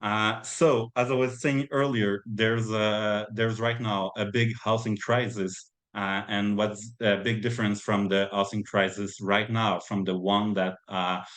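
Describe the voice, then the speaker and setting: A man with a Quebec French accent, fairly low-pitched, at a fairly slow pace with hardly any pauses and fairly even intonation. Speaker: community organizer presenting on housing. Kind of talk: webinar presentation. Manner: halting, many fillers.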